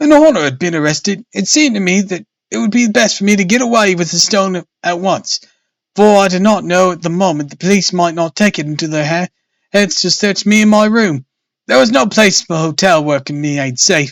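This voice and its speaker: Putting on a character voice, a man speaks at a fairly quick pace in a high, shaky pitch, with a dry, close sound and no echo. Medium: read story. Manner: quivering, nervous.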